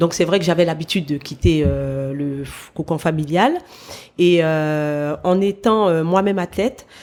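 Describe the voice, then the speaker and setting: A woman talks at a fairly slow pace in a fairly low pitch with ordinary pitch variation and a dark, mellow tone. The recording is very clean, with a silent background. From French Guiana (Matoury, Cayenne). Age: 40s. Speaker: former athlete, sports manager. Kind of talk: interview.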